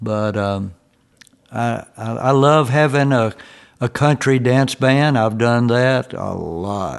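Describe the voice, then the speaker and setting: In a Tennessee accent, a man with a medium pitch talks at a very slow pace with ordinary pitch variation. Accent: Southern US (Tennessee). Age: 70s. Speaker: country and bluegrass musician. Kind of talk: interview. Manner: halting.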